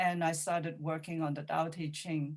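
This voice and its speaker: A woman speaks with a Cantonese accent. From Hong Kong. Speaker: poet and playwright. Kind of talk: Q&A discussion. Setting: video call.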